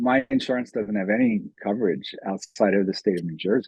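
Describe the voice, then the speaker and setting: With a dry, close sound and no echo, a man with an unremarkable speaking voice talks at a moderate pace using lively intonation. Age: 60s. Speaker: psychologist and author. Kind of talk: casual interview chat.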